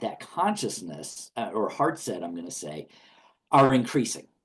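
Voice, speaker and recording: A man is speaking. His voice carries vocal fry. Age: 60s. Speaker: minister. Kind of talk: interview. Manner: halting.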